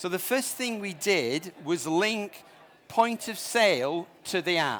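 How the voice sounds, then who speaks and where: A man speaks with a northern English accent. His intonation is lively. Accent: northern English, noticeable. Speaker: startup founder presenting at conference. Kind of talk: conference presentation.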